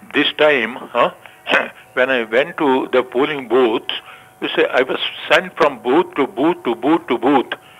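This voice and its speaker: Noticeable background noise accompanies a man who talks at a fairly slow pace and fairly high pitch. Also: ordinary pitch variation. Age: 80s+. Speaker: caller. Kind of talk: phone-in complaint. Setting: phone call. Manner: halting.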